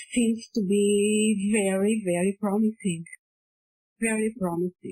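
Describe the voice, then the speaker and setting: Very slowly, a woman with a non-native accent speaks in a somewhat breathy voice at a medium pitch, her intonation monotone and flat. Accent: foreign. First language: not English. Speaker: postgraduate researcher. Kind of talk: academic presentation. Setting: online conference. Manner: halting, repeats words.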